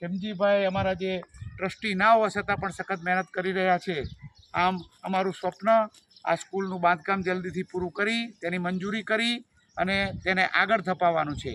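This man's voice is high in pitch. It has a bright, sharp tone. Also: fairly even intonation. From North Gujarat, India. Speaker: engineer, construction committee chairman. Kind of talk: on-site interview statement. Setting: outdoors at construction site.

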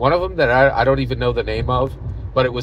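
A man talks at a very fast pace. The sound is dry with no echo, with light background noise. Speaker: vlogger. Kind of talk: casual vlog commentary. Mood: opinionated, engaged. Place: car. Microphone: phone near.

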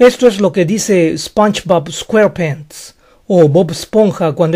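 Ordinary pitch variation marks a man's high voice, which has a dark, mellow tone. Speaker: English teacher on video channel. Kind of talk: tutorial.

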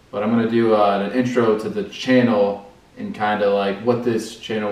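With audible room echo, a man with a fairly low voice speaks at a moderate pace. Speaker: fishing channel host. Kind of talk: casual vlog chat. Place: home room. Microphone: camera far.

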